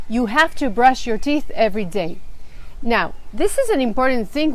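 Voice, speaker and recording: A woman with an Israeli accent, at a moderate pace with ordinary pitch variation. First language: Hebrew. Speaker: children's storyteller. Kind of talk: live stream talk to parents.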